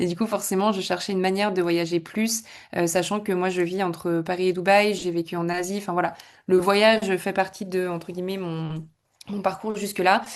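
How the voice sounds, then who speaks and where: The speaker keeps a moderate pace with monotone, flat intonation. The background is quiet. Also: woman, medium pitch for a woman. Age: 20s. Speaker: club member giving testimonial. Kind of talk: testimonial in an online masterclass. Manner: casual, many hesitations.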